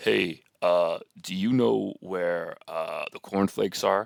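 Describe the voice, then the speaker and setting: Doing a put-on character voice, a man sounds raspy and talks fairly slowly, with a dry, close sound and no echo. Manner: awkward, hesitant.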